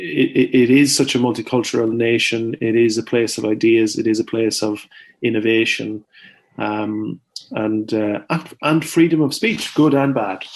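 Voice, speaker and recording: A man with an Irish accent talks at a fairly slow pace and medium pitch. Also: ordinary pitch variation. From Ireland, County Longford. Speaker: farmer and author. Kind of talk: interview. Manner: halting.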